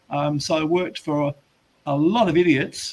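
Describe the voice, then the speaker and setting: Here is a man with an Australian accent. His pitch is fairly high. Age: 70s. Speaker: business coach. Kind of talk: interview. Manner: halting, with frequent restarts.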